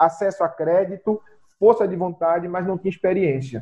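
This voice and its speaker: The pace here is moderate. A man delivers it in a high pitch. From Brazil, rural Pernambuco (Zona da Mata). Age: 30s. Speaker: real estate broker. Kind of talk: podcast interview.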